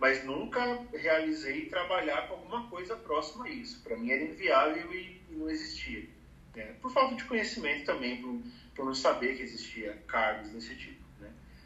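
With audible room echo and noticeable background noise, a man with a high pitch talks at a moderate pace, his loudness swinging widely and his pitch moving in very wide swings. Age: 30s. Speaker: advertising professional. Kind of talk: casual chat.

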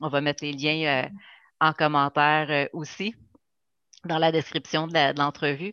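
A woman with a Quebec accent speaks at a fairly slow pace, leaving long, frequent pauses in a monotone, flat delivery. Her very deep, low pitch carries a bright, sharp tone, and the sound is dry and close with no echo. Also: quiet background. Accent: Québécois French. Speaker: podcast host. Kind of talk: interview. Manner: halting.

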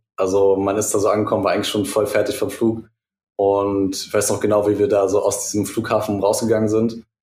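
Somewhat breathy and fairly low, a man's voice moves at a fairly quick pace with monotone, flat intonation. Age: 20s. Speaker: student and former fashion label founder. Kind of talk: casual chat.

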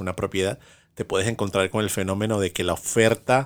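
In a very clean recording with a silent background, a man with a Venezuelan accent talks at a fairly quick pace, fairly low in pitch and fairly even in intonation. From Venezuela, Caracas. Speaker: podcast co-host. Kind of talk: casual chat.

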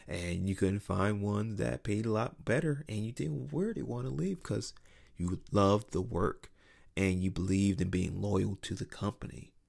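In an unremarkable speaking voice, a man talks at a moderate pace and fairly low pitch with lively intonation, recorded very cleanly over a silent background. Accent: American. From US, North Philadelphia. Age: 30s. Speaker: podcast host. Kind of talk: solo monologue podcast. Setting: home recording late at night.

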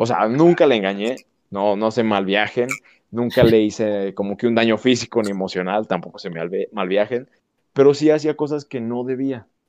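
Against a quiet background, a man speaks at a moderate pace in a plain, everyday voice of medium pitch with ordinary pitch variation. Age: 20s. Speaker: podcast guest. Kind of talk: casual chat.

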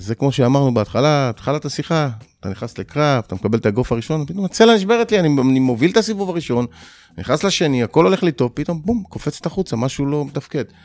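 A man speaks at a very fast pace with a fairly high pitch and very wide pitch swings. The sound is dry and close, with no echo. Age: 40s. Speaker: MMA fighter. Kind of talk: interview.

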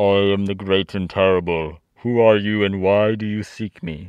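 Using a booming, put-on character voice, a man speaks with a fairly low pitch at a moderate pace. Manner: commanding, intimidating.

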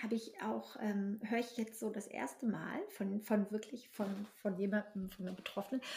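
The voice has a dark, mellow tone and is somewhat breathy. It moves along at a moderate pace. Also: woman. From northern Germany. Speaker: podcast host, platform founder. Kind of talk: casual interview. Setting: wearing headphones.

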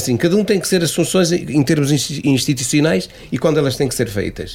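A man with a fairly high pitch, lively intonation and a moderate pace. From Portugal, Cinfães area (Piães). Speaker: association president. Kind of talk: radio interview. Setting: radio studio. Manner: halting.

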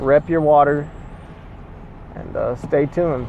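A man's ordinary pitch variation against noticeable background noise. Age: 20s. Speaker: fishing podcaster. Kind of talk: casual solo podcast talk. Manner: casual, with frequent fillers.

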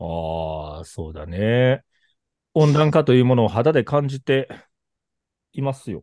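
Speaking with a Kobe accent, a man at medium pitch sounds animated, using very wide pitch swings and big swings in loudness at a fairly slow pace with long, frequent pauses. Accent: Kansai (Kobe) Japanese. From Kobe, Hyogo, Japan. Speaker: podcast host. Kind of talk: casual chat. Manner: talkative, animated.

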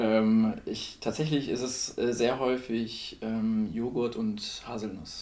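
With audible room echo, a man speaks at medium pitch in a dark, mellow tone, his intonation monotone and flat. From northern Germany (Lower Saxony). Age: 30s. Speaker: blind date participant, designer and photographer. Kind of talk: casual chat. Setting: at the host's home.

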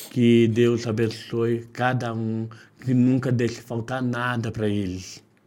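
The delivery is very slow. The intonation stays flat and monotone. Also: man, medium pitch for a man. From Minas Gerais, Brazil (Caratinga). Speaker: street sweets seller. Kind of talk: casual interview.

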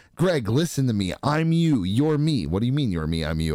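Noticeable background noise sits behind a man speaking in an animated tone at a fairly quick pace, his pitch swinging very widely. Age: 40s. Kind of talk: casual chat.

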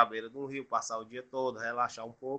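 Very fast in pace, a man speaks with a bright, sharp tone. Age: 30s. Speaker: adult education student. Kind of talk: casual interview.

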